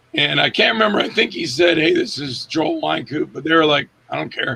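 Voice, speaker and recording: This man talks at a moderate pace with ordinary pitch variation. Noticeable background noise is present. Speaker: actor and director. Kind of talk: casual interview. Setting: in the room with host. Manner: halting, many fillers.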